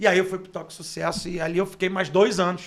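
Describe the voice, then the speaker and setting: A man speaks with a high-pitched voice. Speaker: radio announcer and sports journalist. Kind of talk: casual interview storytelling. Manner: animated.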